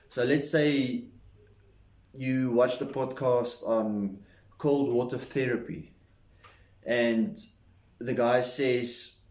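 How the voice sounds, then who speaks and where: A man speaks very slowly at a medium pitch, his intonation fairly even, with audible room echo around him. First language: not English. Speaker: self-improvement vlogger. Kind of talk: casual talking-head monologue. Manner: halting.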